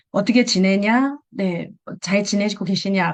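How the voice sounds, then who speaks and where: A woman speaks with a Busan accent. The background is quiet. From Busan, South Korea. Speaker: direct sales seller sharing tips. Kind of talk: presentation in an online meeting. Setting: video call. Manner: conversational, with fillers.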